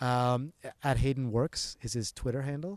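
In a Canadian accent, a man with a normal speaking voice talks at a moderate pace with fairly even intonation, the sound dry and close with no echo on a very clean recording against a silent background. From Canada, Toronto area. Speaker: digital accessibility expert. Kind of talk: interview.

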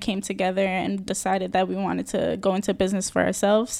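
A woman speaks with a New York accent. The recording is very clean, with a silent background. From New York City, the Bronx. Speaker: small business owner. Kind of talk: interview.

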